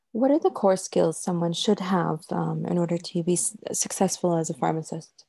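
The speech goes at a moderate pace with hardly any pauses. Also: woman. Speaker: interviewer. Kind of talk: interview chat.

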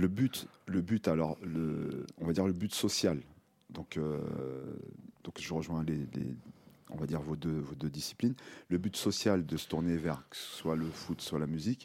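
Low and very deep with vocal fry, a man's voice moves at a fairly slow pace with ordinary pitch variation and long, frequent pauses. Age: older than guests. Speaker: radio workshop host. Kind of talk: hosted discussion. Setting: studio. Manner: halting, many repetitions.

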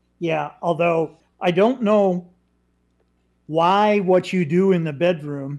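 A man speaks at a very slow pace in a high pitch, with ordinary pitch variation. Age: 60s. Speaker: talk show co-host. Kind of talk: political talk show.

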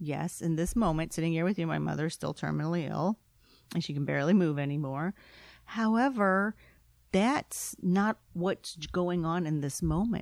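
Here a woman speaks in a fairly low pitch at a moderate pace, with ordinary pitch variation. She has a normal speaking voice, captured in a very clean recording with a silent background. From immigrant to the US. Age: 40s. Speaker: business consultant, former lawyer. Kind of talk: interview.

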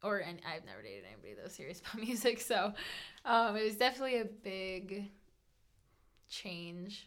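A woman with medium pitch and vocal fry speaks at a moderate pace with ordinary pitch variation. Her loudness swings widely, and she takes long, frequent pauses. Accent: American. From Colorado. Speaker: bank teller, host's fiancee. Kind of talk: casual chat.

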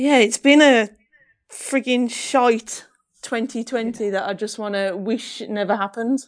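With a northern English accent, a woman speaks at a fairly slow pace and a fairly high pitch, with ordinary pitch variation. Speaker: professional triathlete. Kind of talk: casual interview chat.

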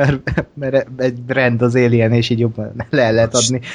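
Against noticeable background noise, a man speaks at a medium pitch with monotone, flat intonation. His pace is very slow. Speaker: podcast co-host. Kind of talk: casual chat.

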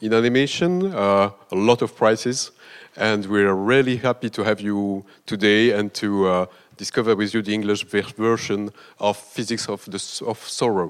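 A man speaks in a plain, everyday voice. His pitch is fairly low and his pace fairly slow. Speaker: festival representative, moderator. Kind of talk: introduction of guest.

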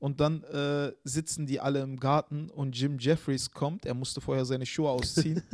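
A man with a plain, everyday voice and a fairly high pitch talks at a moderate pace. His intonation is fairly even, with hardly any pauses. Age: 30s. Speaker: comedian. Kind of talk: casual chat.

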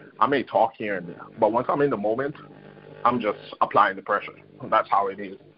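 Over noticeable background noise, a man with a fairly low pitch talks at a fairly quick pace, with long, frequent pauses, big swings in loudness and ordinary pitch variation. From Trinidad and Tobago. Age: 20s. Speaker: college golfer. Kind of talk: interview. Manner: hesitant with fillers.

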